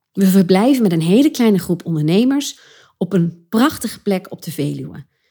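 A woman talks with lively intonation. Her voice is somewhat breathy, with a dark, mellow tone. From Achterhoek, eastern Netherlands. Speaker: podcast host and creative entrepreneur, former actress. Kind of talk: solo podcast monologue. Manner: animated.

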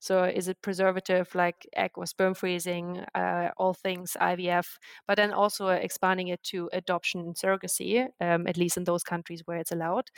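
Speaking with a German accent, a woman keeps a fairly low pitch and a monotone, flat intonation at a moderate pace with hardly any pauses. The sound is dry and close, with no echo. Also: very clean recording, silent background. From Germany. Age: 30s. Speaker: startup co-founder. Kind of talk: podcast interview.

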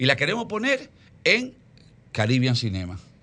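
Fairly slow speech with vocal fry and very wide pitch swings sits over a quiet background. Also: man. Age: 50s. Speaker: film producer. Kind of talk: interview.

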